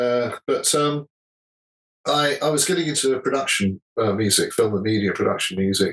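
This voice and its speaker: A man talks with an English accent at a moderate pace. His loudness stays very even. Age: 60s. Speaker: musician. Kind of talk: interview. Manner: halting, self-correcting.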